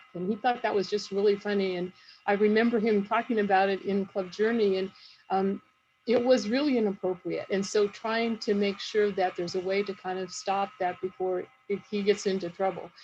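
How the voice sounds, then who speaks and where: This woman talks at a fairly quick pace. Her voice is somewhat breathy. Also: medium pitch for a woman, fairly even intonation. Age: 50s. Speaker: nurse and family caregiver. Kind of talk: panel talk.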